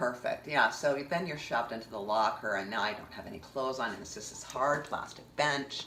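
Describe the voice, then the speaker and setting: An animated woman with a very deep, low pitch talks with hardly any pauses amid noticeable background noise and audible room echo. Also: ordinary pitch variation, fairly quick pace, big swings in loudness. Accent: Canadian. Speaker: vlogger. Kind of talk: personal storytelling monologue.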